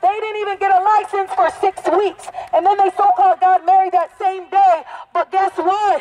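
Noticeable background noise sits behind a man with an extremely high pitch. He speaks in a monotone, flat intonation at a moderate pace. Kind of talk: protest rant. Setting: outdoors protest. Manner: loud, accusatory, exhorting the crowd; repetitive, emphatic, incensed.

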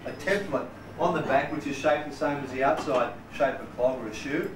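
Over noticeable background noise, a man talks fairly quickly, his pitch varying in an ordinary way. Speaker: clog maker demonstrator. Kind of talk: demonstration talk to visitors. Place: shop. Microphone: camera far.

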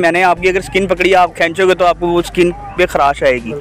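With light background noise and a dry sound lacking echo, a man talks at a moderate pace in a high pitch. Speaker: interviewee. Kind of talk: interview answer. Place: open country. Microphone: handheld.

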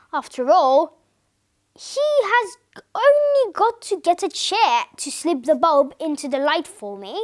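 Using a put-on character voice, a woman speaks slowly at an extremely high pitch with big pitch swings.

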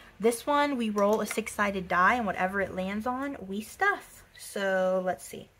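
A woman speaks fairly slowly in an upbeat tone with ordinary pitch variation. Light background noise is present. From Texas. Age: 20s. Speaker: budgeting vlogger. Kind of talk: casual talk to camera. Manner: chatty, upbeat. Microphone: phone near.

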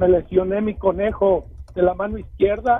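A man speaks in a high voice. His intonation stays monotone and flat. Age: 60s. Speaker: caller. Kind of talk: phone call-in. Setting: phone call while driving. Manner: halting. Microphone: too quiet.

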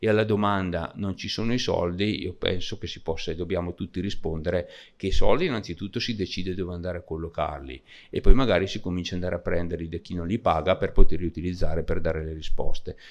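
A man talks very fast in a very deep, low voice. His loudness swings widely. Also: ordinary pitch variation. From Lombardy, Brescia; Lombardy, Italy. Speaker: member of parliament; conference speaker. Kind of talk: panel speech. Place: hall. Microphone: podium.

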